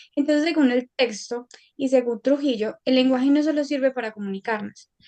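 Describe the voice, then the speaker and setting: A woman with a slight paisa accent speaks at a moderate pace, her high-pitched voice dark and mellow in tone and her intonation fairly even. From Colombia, Antioquia (paisa). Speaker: university student. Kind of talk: academic presentation.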